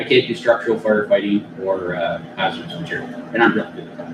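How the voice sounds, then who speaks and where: A man with a Canadian accent talks at a very fast pace. Noticeable background noise runs underneath. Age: 50s. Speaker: fire chief. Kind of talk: council meeting report.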